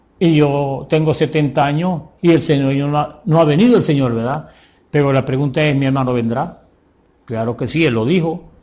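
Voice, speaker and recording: A man with a dark, mellow tone and fairly high pitch, at a moderate pace with ordinary pitch variation and audible room echo. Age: 70s. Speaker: preacher. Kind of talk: sermon. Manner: animated.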